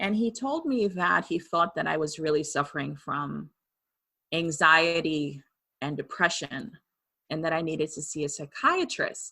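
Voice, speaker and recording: A woman with a Trinidadian accent, very deep, low pitch, bright, sharp tone and fairly slow pace, in a very clean recording with a silent background. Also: lively intonation. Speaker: medium and author. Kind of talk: interview testimony.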